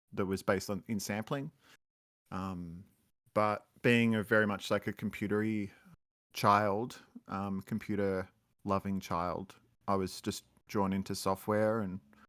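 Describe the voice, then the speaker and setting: In a very clean, dry, close recording with a silent background and no echo, a man speaks fairly slowly with an Australian accent. His pitch is fairly low and flat in a monotone, broken by long, frequent pauses. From Australia, Melbourne. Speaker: musician. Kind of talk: interview.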